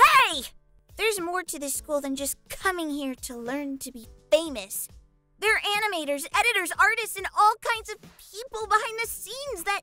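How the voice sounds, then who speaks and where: A put-on character voice moves at a moderate pace with faint music in the background. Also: female-sounding voice, extremely high pitch for a woman. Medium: role play. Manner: upbeat, excitable.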